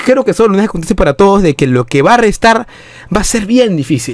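Animated and high-pitched, this man's voice rises and falls through very wide pitch swings. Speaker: football fan youtuber. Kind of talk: casual video commentary.

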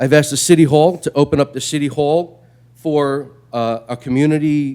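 A man with a New York accent, his pitch fairly high and his intonation fairly even. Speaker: public commenter at city meeting. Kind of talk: public comment. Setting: city council meeting.

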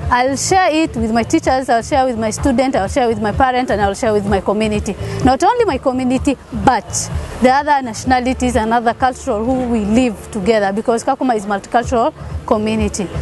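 A woman at a very fast pace with ordinary pitch variation, in a dry sound with no echo and music in the background. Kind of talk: interview answer. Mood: happy, proud. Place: open country.

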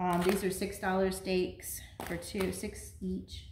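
A woman is speaking. Audible room echo and light background noise surround her voice. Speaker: home vlogger. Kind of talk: casual vlog chat. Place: kitchen. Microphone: camera far.

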